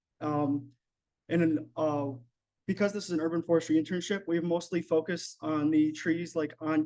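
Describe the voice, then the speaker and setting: Speaking at a moderate pace, a man with a fairly high pitch and a dark, mellow tone holds a monotone, flat intonation. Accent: western New York. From western New York, Allegany County. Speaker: college forestry intern. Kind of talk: Q&A after presentation. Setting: club meeting, also streamed on Zoom. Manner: hesitant, many fillers.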